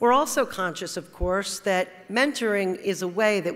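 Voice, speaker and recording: A woman speaks at a medium pitch and a moderate pace. Her pitch varies in an ordinary way. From New Jersey (Teaneck); New Jersey. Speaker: corporate lawyer, award honoree; corporate lawyer. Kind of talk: award acceptance speech. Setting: stage at awards luncheon. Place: hall. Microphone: podium.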